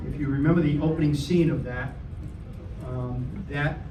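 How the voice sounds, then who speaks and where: Over noticeable background noise and audible room echo, a man with a slight New York accent talks in a fairly high pitch with monotone, flat intonation. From New York City (Bensonhurst, Brooklyn). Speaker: political candidate. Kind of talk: campaign speech. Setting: meeting with live audience. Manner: halting, many fillers.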